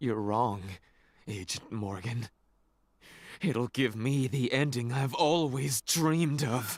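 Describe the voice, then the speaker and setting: A man puts on a character voice with an intense tone at a medium pitch. He leaves long, frequent pauses. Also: fairly slow pace. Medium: video game. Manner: intense, unstable.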